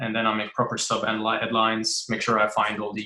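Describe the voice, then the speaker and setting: Bright and sharp in tone, a man with a non-native accent speaks at medium pitch. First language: not English. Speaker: writer. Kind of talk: interview. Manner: halting.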